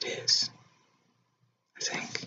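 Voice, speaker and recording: A man is whispering. That is all there is to his delivery. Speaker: illustrator. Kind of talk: ASMR drawing commentary. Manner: whispered.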